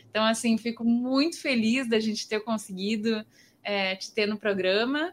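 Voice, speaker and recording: An unremarkable speaking voice from a woman, fairly high-pitched and moderately paced. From southern Brazil, Pelotas. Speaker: podcast host. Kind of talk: casual chat. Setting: video call.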